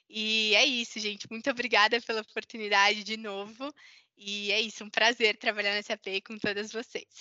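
A woman's fairly high voice at a moderate pace, in a flat monotone. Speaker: marketing professional. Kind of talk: panel discussion.

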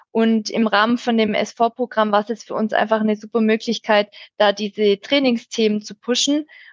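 A woman speaks with a Swabian accent at a moderate pace, pitched fairly high for a woman. Her delivery is a flat monotone, with a dry, close sound and no echo. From Swabia, near Stuttgart, Germany. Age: 30s. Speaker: IT change management team lead. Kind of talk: podcast interview.

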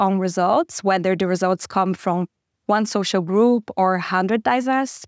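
Speaking with a Portuguese accent at a fairly slow pace and ordinary pitch variation, a woman is heard in a very clean recording with a silent background and a dry, close sound with no echo. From Brazil. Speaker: podcast host. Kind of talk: panel discussion.

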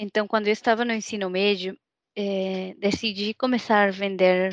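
With a Mexican accent, a woman speaks at a fairly slow pace and a medium pitch. The sound is dry and close, with no echo. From Mexico. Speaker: trainee. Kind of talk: casual interview.

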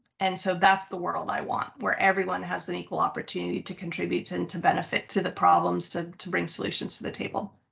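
A woman speaks at a very fast pace with hardly any pauses. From United States. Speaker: nonprofit founder and CEO. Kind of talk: interview.

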